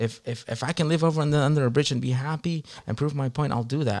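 A man at a very fast pace, with fairly even intonation, in a very clean recording with a silent background. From Long Beach, California; Mexican immigrant family. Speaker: music producer and DJ. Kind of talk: casual interview chat.

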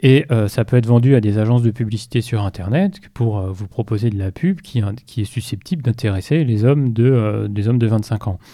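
At a moderate pace and with hardly any pauses, a man speaks in a dark, mellow tone at medium pitch. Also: ordinary pitch variation. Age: 40s. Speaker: IT security specialist at a bank. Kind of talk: interview.

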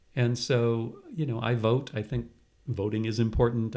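With an American accent, a man with a plain, everyday voice and a medium pitch speaks at a fairly slow pace. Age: 60s. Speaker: retired professor. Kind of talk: interview.

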